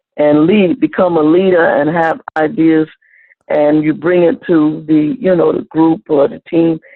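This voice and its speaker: A woman's fairly low pitch in an ordinary speaking voice, at a fairly slow pace. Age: 60s. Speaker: student. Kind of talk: class discussion.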